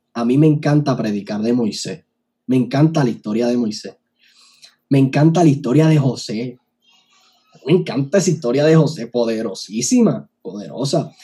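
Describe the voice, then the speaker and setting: With an animated tone, a somewhat breathy man speaks at a medium pitch and a moderate pace, using ordinary pitch variation and long, frequent pauses. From Puerto Rico, Barranquitas. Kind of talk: casual interview chat. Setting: online video call.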